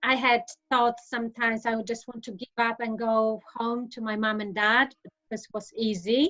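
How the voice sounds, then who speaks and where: The voice, in a Polish accent, has a bright, sharp tone, moves at a fairly slow pace, and shows big swings in loudness. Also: woman. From Poland. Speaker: insolvency professional. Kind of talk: interview. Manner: hesitant, many fillers.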